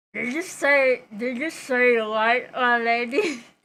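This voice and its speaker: Putting on a raspy character voice, a woman speaks at a fairly slow pace and a high pitch. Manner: putting on a rough voice while reading.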